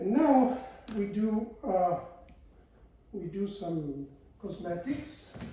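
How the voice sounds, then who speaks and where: A man with an Italian accent speaks at a very slow pace, with long, frequent pauses and lively intonation. His pitch is high, and the recording has audible room echo and noticeable background noise. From Italy. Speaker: physics lecturer. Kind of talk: lecture.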